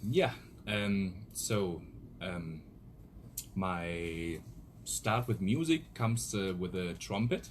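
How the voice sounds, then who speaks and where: Very deep, low male speech with a German accent, very slow and full of long, frequent pauses, lively in intonation, music in the background. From Germany (Bielefeld). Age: 30s. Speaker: DJ. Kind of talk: radio interview. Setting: studio.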